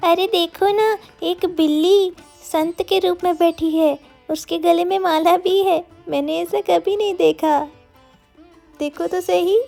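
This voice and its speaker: A cartoonish character voice at a fairly slow pace, with faint music in the background. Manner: earnest, easily worried.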